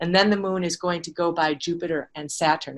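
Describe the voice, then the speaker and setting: A woman speaks fairly quickly at a fairly low pitch. She has an unremarkable speaking voice. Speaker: lecturer on astronomy and anthroposophy. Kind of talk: lecture.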